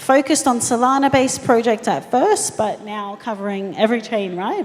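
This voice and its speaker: A woman with an Australian accent, high-pitched with ordinary variation, at a moderate pace over noticeable background noise. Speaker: panel moderator, marketing agency founder. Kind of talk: panel moderation and introductions.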